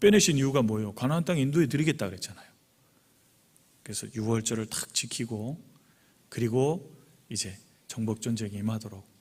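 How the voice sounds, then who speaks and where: A man's somewhat breathy, medium-pitched voice at a fairly quick pace, with long, frequent pauses, big swings in loudness and ordinary pitch variation. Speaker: pastor. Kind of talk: sermon. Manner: fast.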